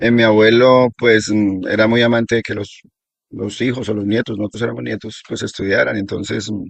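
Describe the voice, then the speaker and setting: A man's fairly low, monotone and flat voice with a Colombian accent, at a fairly quick pace. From Colombia, Risaralda region then eastern plains. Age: 60s. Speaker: local elder sharing oral history. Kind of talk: oral history interview. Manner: halting, with fillers and repetitions.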